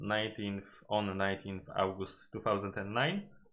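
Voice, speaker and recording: Here a man talks with a Polish accent. His pitch sits fairly low. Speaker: gaming YouTuber. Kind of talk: video analysis commentary. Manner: halting, many fillers and self-corrections.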